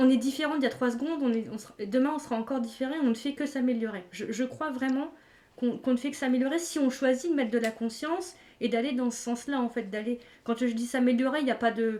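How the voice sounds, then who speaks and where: A woman talks very fast in a high pitch. Her tone is dark and mellow, and her intonation stays fairly even. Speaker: energy healer and wellbeing coach. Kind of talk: live stream discussion. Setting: live stream.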